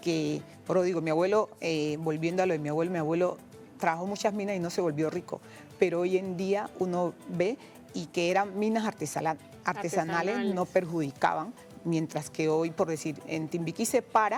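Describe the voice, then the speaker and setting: A woman's fairly low voice, fairly quick in pace with ordinary pitch variation, over music in the background. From Pacific coast of Cauca, Colombia. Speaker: traditional cook and singer. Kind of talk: interview answer.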